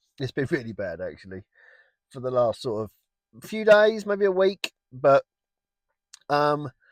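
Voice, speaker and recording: A man speaks at a fairly slow pace with long, frequent pauses, in a dry, close sound with no echo. His fairly high voice makes very wide pitch swings and big swings in loudness. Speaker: gaming and garden project youtuber. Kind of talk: casual vlog update. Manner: halting, repetitive.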